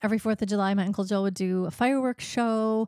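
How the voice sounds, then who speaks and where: At a moderate pace, a dark, mellow voice with a Midwestern American accent comes through a very clean recording with a silent background and a dry, close sound with no echo. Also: woman. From US Midwest, eastern Iowa. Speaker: podcast host. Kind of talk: casual interview chat.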